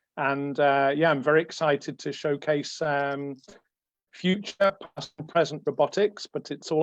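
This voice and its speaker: With an English accent, a man speaks at a moderate pace in a fairly high pitch, the sound dry and close with no echo. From England. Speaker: space engineer. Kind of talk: lecture.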